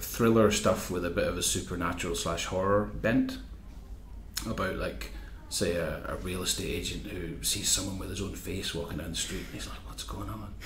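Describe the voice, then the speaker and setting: Male voice in a Northern Irish accent, moderate pace. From Northern Ireland. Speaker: magazine editor and journalist. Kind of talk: interview answer.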